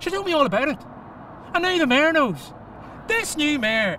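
A fairly quick pace, dry sound with no echo and light background noise. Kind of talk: acted drama dialogue. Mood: smug, mocking, threatening. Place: car.

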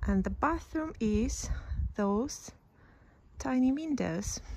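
A woman speaks at a very slow pace in a dark, mellow tone, somewhat breathy, in a dry sound with no echo. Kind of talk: casual vlog chat. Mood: cheerful, enthusiastic. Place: street. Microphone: phone near.

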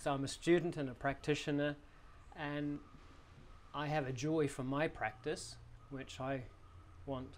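There is light background noise as a man speaks at a moderate pace. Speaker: yoga teacher. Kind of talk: interview answer. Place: hall. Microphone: lapel.

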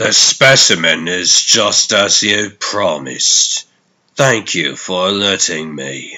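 Putting on a character voice, a low-pitched man speaks slowly in a bright, sharp tone. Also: ordinary pitch variation.

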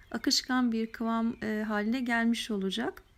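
The recording is very clean, and the background is silent. A woman talks at a moderate speed. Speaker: cooking channel host. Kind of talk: cooking tutorial.

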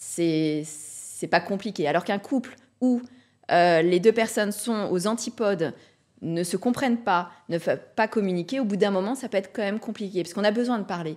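Over a quiet background, a woman talks at a moderate pace with ordinary pitch variation. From Brittany, France. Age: 40s. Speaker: real estate investor; podcast guest. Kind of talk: casual interview. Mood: calm, reflective. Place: studio. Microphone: studio mic.

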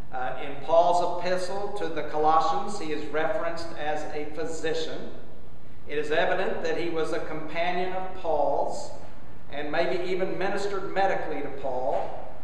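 At a moderate pace, a man speaks with fairly even intonation amid light background noise and strong room echo. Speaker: bishop preaching. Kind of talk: sermon. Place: church. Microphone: camera far.

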